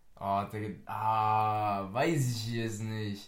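With audible room echo, a man talks at a medium pitch using fairly even intonation. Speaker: podcast host. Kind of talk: casual chat.

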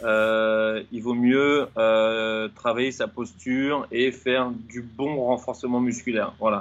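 A man is talking. The intonation he uses is fairly even. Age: 40s. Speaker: running coach and fitness trainer. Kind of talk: interview. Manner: halting.

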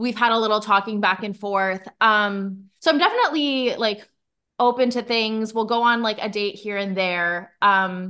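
The speaker has a normal speaking voice and a fairly slow pace. The background is quiet. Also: woman. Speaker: podcast host. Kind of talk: casual chat.

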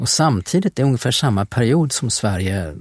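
A man's somewhat breathy voice with a dry, close sound and no echo. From Sweden, Västervik. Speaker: podcast host. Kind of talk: casual conversation about history. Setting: studio.

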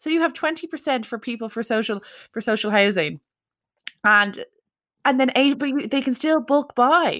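In a Leinster accent, a woman with a high pitch and lively intonation speaks with long, frequent pauses. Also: moderate pace, very clean recording, silent background. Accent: Irish (Leinster). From Ireland, County Meath (Dunboyne). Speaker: podcast host. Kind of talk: casual chat.

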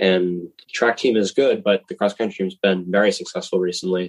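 With an American accent, a man in an unremarkable speaking voice talks at a moderate pace with a fairly low pitch and fairly even intonation, in a dry, close sound with no echo. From Massachusetts. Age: 20s. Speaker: college runner. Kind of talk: interview.

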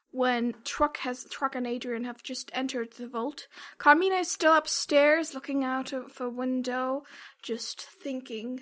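In a very clean recording with a silent background, a woman uses a raised, projected voice, high-pitched with a bright, sharp tone, speaking very slowly with fairly even intonation. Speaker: game master. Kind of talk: tabletop roleplaying podcast, casual chat.

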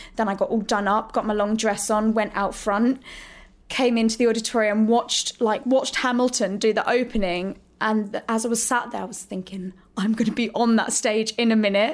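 With a southern English accent, a woman speaks at a moderate pace in a fairly high voice with monotone, flat intonation. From Hertfordshire, England. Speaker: musical theatre actress. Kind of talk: casual interview. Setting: backstage dressing room.

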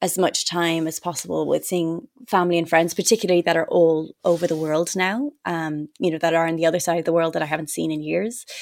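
A woman talks with a Dublin accent and hardly any pauses. Her fairly low voice keeps fairly even intonation. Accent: Irish (Dublin). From Ireland, Dublin. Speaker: actress. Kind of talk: casual interview.

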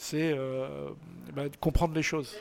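A man's fairly high-pitched voice with fairly even intonation. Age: 60s. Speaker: photographer. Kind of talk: interview. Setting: book signing event. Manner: halting.

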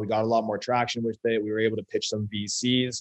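Fast-paced, a man speaks at a fairly low pitch with fairly even intonation.

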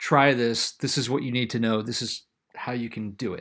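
A man with an American accent speaks in an ordinary speaking voice at medium pitch, using fairly even intonation and a fairly quick pace on a very clean recording with a silent background. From South Carolina. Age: 40s. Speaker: farmer and podcast host. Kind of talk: casual chat.

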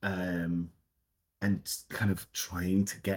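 In a Scottish accent, a man speaks at a fairly low pitch. His intonation stays fairly even. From Scotland. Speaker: theatre director. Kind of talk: casual interview chat.

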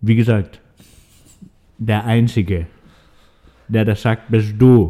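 A man's dark, mellow voice at a very slow pace. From Swabia, Germany. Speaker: podcast co-host, restaurant server. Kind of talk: casual chat. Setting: studio, in person.

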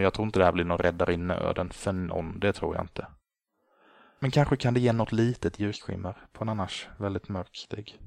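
Recorded very cleanly against a silent background, a man with an unremarkable speaking voice talks at a fairly quick pace, his fairly low pitch following a fairly even intonation. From Sweden, Småland (Gnosjö). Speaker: podcast host. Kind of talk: solo podcast monologue.

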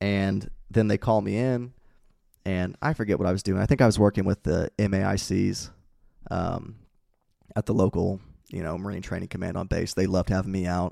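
The recording is very clean, with a silent background and a dry, close sound with no echo. A man speaks in a dark, mellow tone at fairly low pitch with fairly even intonation, moving at a fairly quick pace between long, frequent pauses. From Indiana (Peru). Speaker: Navy corpsman veteran. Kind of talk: casual chat.

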